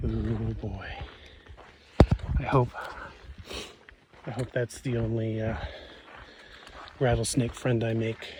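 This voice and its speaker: Speaking very slowly at a medium pitch, a man keeps a monotone, flat intonation and leaves long, frequent pauses. There is noticeable background noise. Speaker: long-distance hiker vlogger. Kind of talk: casual vlog narration. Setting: outdoors on a trail.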